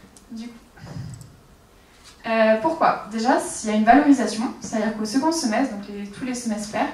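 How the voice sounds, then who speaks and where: A woman speaks at a moderate pace while noticeable background noise and audible room echo surround her. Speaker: student association member presenting. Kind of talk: student conference talk.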